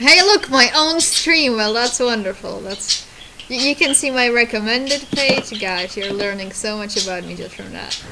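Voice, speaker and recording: Noticeable background noise behind a woman's high voice at a moderate pace, with big swings in loudness. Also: lively intonation. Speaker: streamer. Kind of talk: casual live stream chat. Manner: halting.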